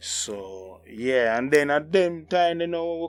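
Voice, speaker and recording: A man speaks with a Jamaican accent and ordinary pitch variation, with music playing in the background. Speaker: vlogger. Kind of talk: casual talk to camera.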